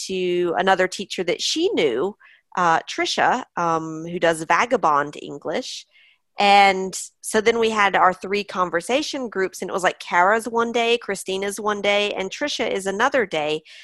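A normal speaking voice at a moderate pace with ordinary pitch variation, a quiet background and a dry, close sound with no echo. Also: woman, medium pitch for a woman. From US. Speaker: online English teacher and business owner. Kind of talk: interview.

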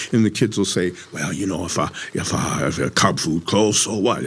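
In an American accent, a man with a very deep, low pitch talks at a fairly quick pace with ordinary pitch variation amid noticeable background noise. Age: old. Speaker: community organizer and urban farming activist. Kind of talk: interview conversation. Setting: recorded in Minneapolis.

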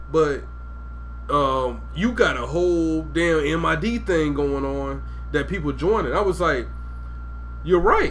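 Noticeable background noise and audible room echo are present. Through them, a man talks at a moderate pace. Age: 30s. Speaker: podcast host. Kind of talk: casual chat. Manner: animated.

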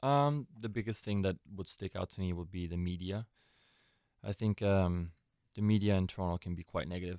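A man with a very deep, low pitch speaks fairly quickly with ordinary pitch variation. The recording is very clean, with a silent background and a dry, close sound with no echo. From Switzerland, then San Francisco Bay Area from age 15. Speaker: professional soccer goalkeeper. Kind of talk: interview. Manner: halting, many fillers.

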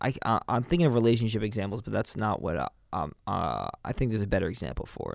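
Speaking very fast with an American accent, a man uses a fairly low pitch, vocal fry and lively intonation. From New York City. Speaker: podcast co-host. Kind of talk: casual chat.

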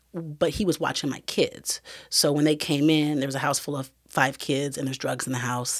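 A woman speaks in a very deep, low pitch. The recording is very clean with a silent background. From Iowa. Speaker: peer recovery coach. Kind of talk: interview, personal testimony.

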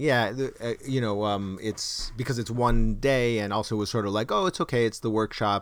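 Over a very clean, silent background, a man talks at a moderate pace with hardly any pauses. His pitch is medium, with ordinary variation. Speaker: podcast host and actor. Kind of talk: casual banter podcast. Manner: hesitant, chatty, jokey.

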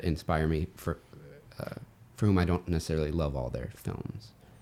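A man with an American accent speaks at a moderate pace. His voice has vocal fry. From US South. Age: young. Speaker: independent film writer-director. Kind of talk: casual interview conversation.

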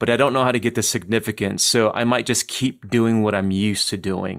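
Over a very clean, silent background, a man with a plain, everyday voice talks at a fairly quick pace, at medium pitch with fairly even intonation. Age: 40s. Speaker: podcast co-host, ministry director. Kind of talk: interview; scripted outro.

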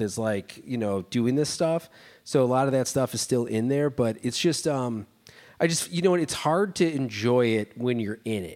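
In a very clean recording with a silent background, a man with an American accent and a medium pitch has an unremarkable speaking voice, talking at a moderate pace with lively intonation. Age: 40s. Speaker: podcast host. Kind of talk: casual chat.

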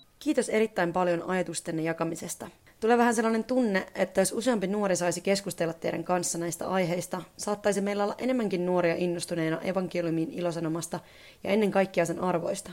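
Words pour out at a very fast pace, with pitch varying in an ordinary way. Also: woman, medium pitch for a woman. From Finland. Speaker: radio presenter and mission communications specialist. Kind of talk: scripted narration.

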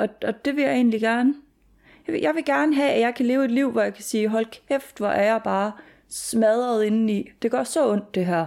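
A woman with lively intonation is heard on a very clean recording with a silent background. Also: moderate pace. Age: 20s. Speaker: student and former heavy drinker. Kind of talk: personal testimony interview. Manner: halting.

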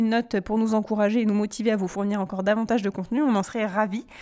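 On a very clean recording with a silent background, a woman talks at a very fast pace. Her pitch is fairly high, with ordinary pitch variation. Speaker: podcast co-host. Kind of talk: casual chat.

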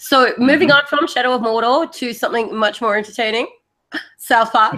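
Speaking at a fairly quick pace, a woman with an Australian accent uses a fairly high pitch. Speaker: podcast host. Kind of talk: casual chat.

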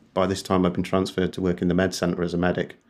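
A man's very deep, low voice in a flat monotone, with an English accent. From England. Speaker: British Army veteran. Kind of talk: interview testimony.

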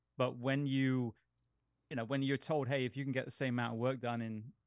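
A man with an English accent, medium pitch and fairly even intonation, speaking at a fairly quick pace. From England. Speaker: firefighter paramedic and podcast host. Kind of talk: casual chat.

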